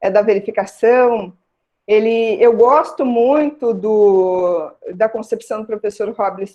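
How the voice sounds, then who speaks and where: Speaking at a fairly slow pace, a woman uses a fairly high pitch with ordinary pitch variation. Her tone is dark and mellow. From southern Brazil, Rio Grande do Sul (Santa Maria). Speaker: criminal law scholar, guest lecturer. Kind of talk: online lecture.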